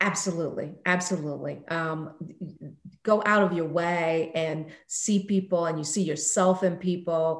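Fairly low in pitch, a woman speaks with fairly even intonation amid audible room echo. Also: moderate pace. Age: 50s. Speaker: business executive. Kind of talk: interview.

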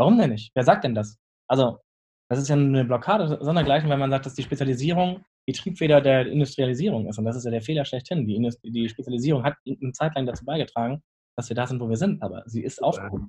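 Very fast in pace, a man speaks at a medium pitch with ordinary pitch variation. His tone is dark, mellow and somewhat breathy. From northern Germany, Lüneburg Heath. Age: 20s. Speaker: chef and restaurant owner. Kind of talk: casual interview.

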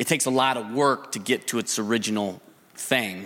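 Talking at a fairly quick pace, a man uses a normal speaking voice at a medium pitch. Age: 50s. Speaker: business investor and advisor. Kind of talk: live testimony on stage.

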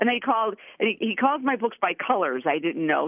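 Noticeable background noise behind a woman speaking with a fairly high voice. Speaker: author. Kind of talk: interview.

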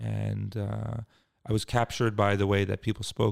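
A man with a Philadelphia accent talks fairly quickly in a fairly low pitch, on a very clean recording with a silent background. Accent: Philadelphia-area American. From US Northeast (Cherry Hill, New Jersey, Philadelphia suburbs). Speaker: nonprofit executive. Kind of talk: interview. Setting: office suite near the beach.

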